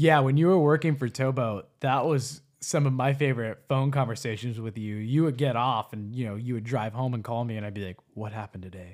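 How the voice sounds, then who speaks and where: Here a man talks at a fairly quick pace with hardly any pauses, at medium pitch with ordinary pitch variation. His loudness swings widely, and the recording is very clean with a silent background. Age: young. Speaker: podcast co-host. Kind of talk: casual chat.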